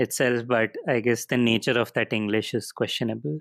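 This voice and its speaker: A man with a Goan accent and a medium pitch, in a dry, close sound with no echo. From India. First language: Konkani. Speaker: artist and cartoonist. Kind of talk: podcast interview. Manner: hesitant, many fillers.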